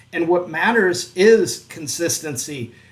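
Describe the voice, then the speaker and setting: At a very slow pace, a man with a high voice talks with ordinary pitch variation. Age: 50s. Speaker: online business youtuber. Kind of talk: tutorial. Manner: casual, with frequent fillers and self-corrections.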